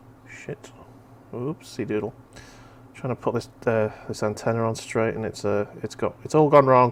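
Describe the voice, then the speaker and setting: A man's medium-pitched voice in a slight Merseyside accent, moderately paced, with fairly even intonation. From Merseyside, England. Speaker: streamer. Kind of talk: casual chat. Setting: live stream.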